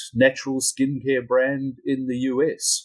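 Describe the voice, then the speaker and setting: This man speaks in a New Zealand accent at a medium pitch. The sound is dry and close, with no echo. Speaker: company CEO. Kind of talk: interview. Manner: halting, repeats words.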